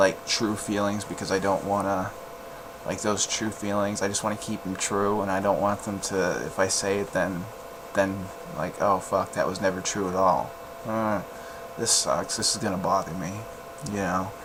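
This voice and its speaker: Amid noticeable background noise and audible room echo, a man speaks at a moderate pace and a fairly low pitch in a monotone, flat intonation. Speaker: podcast host. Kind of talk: casual personal monologue. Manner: halting.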